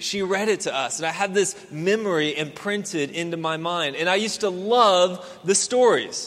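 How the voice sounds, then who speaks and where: A man with a high pitch and an American accent speaks in a room with audible echo and noticeable background noise. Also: ordinary pitch variation, moderate pace. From Houston, Texas. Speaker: pastor. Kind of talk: sermon.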